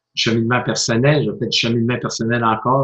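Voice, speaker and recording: A man with a Quebec accent speaks at a moderate pace and medium pitch, somewhat breathy, with fairly even intonation. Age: 50s. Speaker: motivational speaker and coach. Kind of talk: interview.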